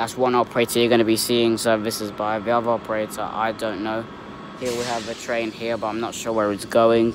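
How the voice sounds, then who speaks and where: Fairly quick, flat, monotone speech from a man, dry with no echo, with noticeable background noise. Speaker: trainspotting vlogger. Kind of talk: casual vlog chat. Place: station. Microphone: phone near.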